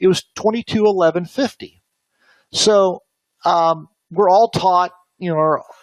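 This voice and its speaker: The sound is dry and close, without any echo. A man talks with ordinary pitch variation. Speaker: options trading instructor. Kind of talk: webinar lecture. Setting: online webinar. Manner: fast; hesitant, many fillers.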